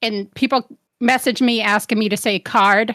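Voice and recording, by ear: The sound is dry and close, with no echo. A woman speaks at a fairly high pitch in a bright, sharp tone.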